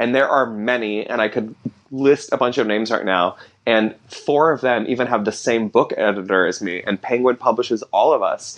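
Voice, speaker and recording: A normal speaking voice with ordinary pitch variation, at a moderate pace. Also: man, medium pitch for a man. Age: 20s. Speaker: artist and author. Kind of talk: casual interview chat. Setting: home apartment studio in Brooklyn.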